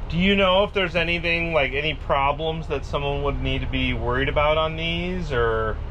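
A man speaks at a moderate pace with hardly any pauses. Light background noise is present. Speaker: RV YouTuber. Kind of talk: casual walkthrough video. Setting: outdoors then inside an RV.

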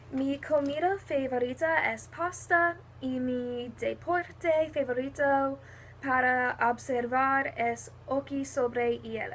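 A woman with a high-pitched voice speaks very slowly. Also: ordinary pitch variation. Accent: American. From New Jersey, US. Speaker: university student. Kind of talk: self-introduction for a Spanish class.

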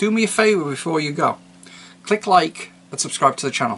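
The intonation here is lively. A man talks at a fairly quick pace. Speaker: channel host. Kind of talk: casual vlog chat. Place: home room.

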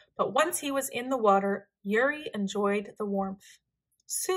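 The background stays quiet. What is heard is plain reading aloud.

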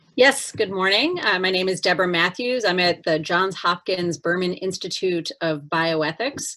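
A woman with a bright, sharp tone speaks at a moderate pace against a quiet background. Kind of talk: self-introduction at a meeting. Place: office. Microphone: video call.

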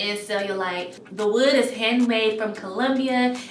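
A woman speaks at a fairly slow pace with fairly even intonation. There is audible room echo and faint music in the background. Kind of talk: casual vlog chat.

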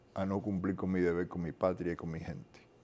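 The man's voice sits very deep and low in pitch. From Cuba. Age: 60s. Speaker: Cuban exile activist; interview guest. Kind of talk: interview. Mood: earnest, reflective. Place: studio. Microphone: lapel.

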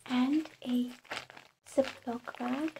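A soft-spoken woman is talking. Noticeable background noise sits behind her. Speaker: reiki practitioner. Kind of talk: ASMR guided ritual instructions. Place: home room. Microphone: phone near.

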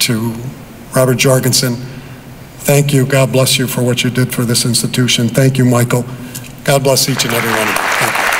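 Over crowd noise in the background, a man talks at a fairly quick pace with monotone, flat intonation. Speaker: county executive, politician. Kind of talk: ceremony speech. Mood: grateful, formal.

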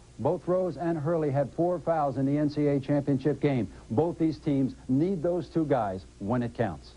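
This man speaks at a fairly slow pace with hardly any pauses, his fairly high pitch carrying ordinary variation and a somewhat breathy, dark, mellow tone. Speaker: color analyst. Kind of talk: commentary. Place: studio.

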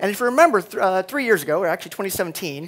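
A man with a high-pitched voice. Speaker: conference speaker. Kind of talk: conference keynote. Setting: stage with audience. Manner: fast; animated. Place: hall. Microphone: headset.

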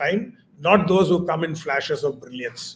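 A high-pitched man at a moderate pace. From eastern India. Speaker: chartered accountant and teacher; teacher. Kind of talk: interview. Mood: reflective, calm. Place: home room.

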